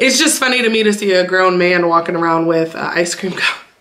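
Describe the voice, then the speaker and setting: A woman's medium-pitched voice with an American accent, noticeable background noise and audible room echo. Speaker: YouTuber. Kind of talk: casual vlog talk. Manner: fast.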